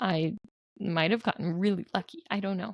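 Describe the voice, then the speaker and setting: A woman with a medium pitch and vocal fry speaks at a fairly quick pace with ordinary pitch variation, the sound dry and close with no echo. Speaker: home bookkeeper and vlogger. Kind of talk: casual video talk. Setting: at home with sleeping baby.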